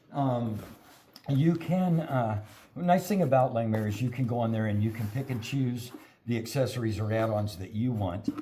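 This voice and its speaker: A man's medium-pitched, somewhat breathy voice, dark and mellow in tone, with ordinary pitch variation, a moderate pace and audible room echo. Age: 60s. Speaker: metal fabricator. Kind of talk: product unboxing.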